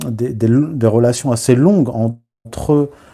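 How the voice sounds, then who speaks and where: A man with a dark, mellow tone speaks at a medium pitch and a fairly slow pace, with ordinary pitch variation. The recording is very clean, with a silent background. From Morocco, raised from childhood in Paris and its suburbs. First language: Berber (Amazigh) (speaking French). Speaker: writer and historian. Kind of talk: live video interview. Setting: live stream. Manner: hesitant, many fillers.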